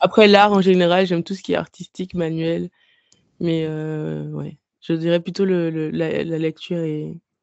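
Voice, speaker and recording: This woman's voice is fairly low in pitch. Her delivery is fairly slow, in a monotone, flat intonation. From Guadeloupe. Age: 30s. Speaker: book blogger and podcaster. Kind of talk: casual interview. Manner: halting, many hesitations.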